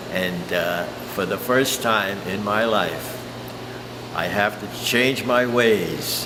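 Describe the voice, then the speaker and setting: A man with an American accent at medium pitch and ordinary pitch variation, very slow pace, audible room echo, noticeable background noise. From New Jersey. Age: 80s+. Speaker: sign painter. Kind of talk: interview. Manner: halting.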